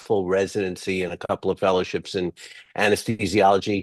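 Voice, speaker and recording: A man speaks with an East Coast US accent. His pitch is fairly low and his pace fairly quick. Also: dry, close sound with no echo. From US East Coast. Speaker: physician and venture fund founder. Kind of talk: webinar presentation. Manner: halting, many fillers.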